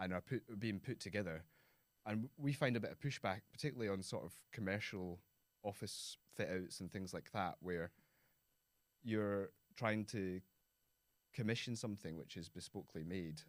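With a west of Scotland accent, a man speaks at a fairly low pitch and a moderate pace, showing ordinary pitch variation and long, frequent pauses. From Scotland, Prestwick (Ayrshire). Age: 30s. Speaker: architect. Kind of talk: interview conversation.

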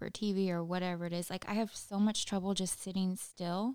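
The recording is very clean, with a silent background. A woman speaks at a moderate pace and medium pitch with monotone, flat intonation. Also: dry, close sound with no echo. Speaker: podcast co-host, police academy recruit. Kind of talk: casual chat.

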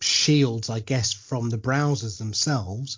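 At a fairly slow pace, a man speaks with fairly even intonation in a somewhat breathy voice. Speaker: radio show host. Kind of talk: casual interview chat.

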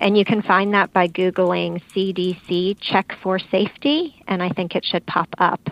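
In a normal speaking voice, a woman talks at a fairly slow pace and medium pitch, with fairly even intonation and hardly any pauses. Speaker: fall prevention expert. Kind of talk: radio interview. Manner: informative.

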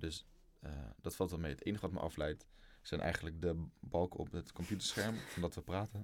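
The man's pitch is very deep and low. He talks at a fairly quick pace with fairly even intonation. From Netherlands, Lelystad. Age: 20s. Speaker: student. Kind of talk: casual chat.

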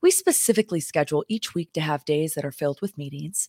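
On a very clean recording with a silent background, a woman's very deep, low voice comes across dark and mellow, with a dry, close sound and no echo. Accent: American. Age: 20s. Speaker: podcast co-host and company co-founder. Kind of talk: casual chat. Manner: animated.

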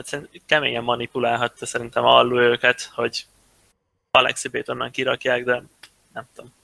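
A man at a moderate pace, long, frequent pauses and big swings in loudness, in a dry, close sound with no echo. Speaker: professional esports player. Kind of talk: casual chat.

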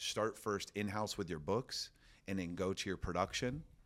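On a very clean recording with a silent background, a man with an American accent speaks at a fairly quick pace and fairly even intonation. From Florida. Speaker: roofing company owner. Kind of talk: casual interview. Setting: office.

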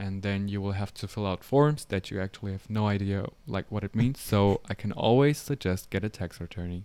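With a German accent and a dark, mellow tone, a man speaks at a fairly quick pace and a fairly low pitch, using ordinary pitch variation and hardly any pauses. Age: 20s. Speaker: photographer. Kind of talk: casual interview chat.

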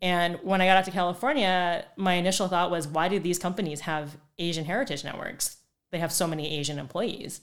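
With a General American accent, a woman speaks in an unremarkable speaking voice, fairly low in pitch, at a fairly quick pace with ordinary pitch variation. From Phoenix, Arizona. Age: 30s. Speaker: podcast co-host. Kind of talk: casual chat.

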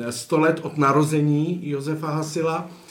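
Audible room echo and noticeable background noise around a fairly high-pitched male voice. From Chodsko region, western Bohemia. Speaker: documentary filmmaker. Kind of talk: interview. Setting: cinema hall.

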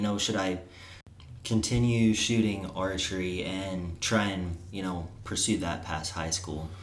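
A man with a Missouri accent at a moderate pace. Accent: Midwestern US, Missouri. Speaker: college archer and guest. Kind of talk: casual chat.

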